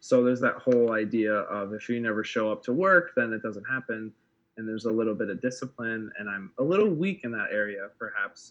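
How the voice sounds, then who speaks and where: With an American accent, a man talks at a fairly quick pace and medium pitch with ordinary pitch variation. He has a normal speaking voice over a quiet background. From Wisconsin, US Midwest. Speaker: filmmaker and photographer. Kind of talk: casual interview chat.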